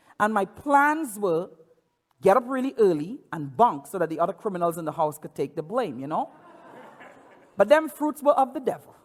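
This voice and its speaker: A man speaks with an animated tone at a high pitch and moderate pace, his pitch swinging very widely and his loudness in big swings. Long pauses come frequently. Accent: Caribbean. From Trinidad. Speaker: pastor. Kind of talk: sermon. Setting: church. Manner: repeats words, stammering restarts.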